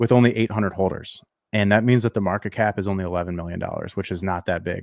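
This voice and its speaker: A man speaks at a very fast pace. The sound is dry and close with no echo, on a very clean recording with a silent background. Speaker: crypto channel host. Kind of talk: casual explainer talk.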